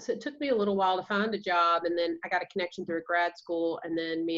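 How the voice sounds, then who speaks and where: Talking at a fairly quick pace, a woman with a strong Georgia accent uses a fairly low pitch. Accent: Georgia Southern accent, strong. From US South, Georgia. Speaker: counselor and practice owner. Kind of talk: interview.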